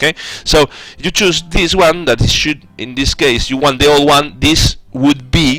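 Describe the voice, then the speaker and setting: At a very slow pace, a man talks with lively intonation in a dry sound with no echo, faint music playing in the background. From Spain. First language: Spanish. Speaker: 3D aircraft developer, livestreamer. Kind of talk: live-streamed tutorial, working commentary; live stream tutorial chat. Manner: halting, many fillers and restarts. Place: home room.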